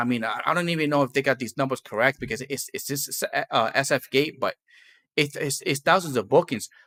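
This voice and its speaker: Here a man with a fairly high voice speaks at a fairly quick pace in a non-native accent, his tone bright and sharp and his intonation lively. The sound is dry and close with no echo, on a very clean recording with a silent background. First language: not English. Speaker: podcast host and gig driver. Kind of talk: casual chat. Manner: halting.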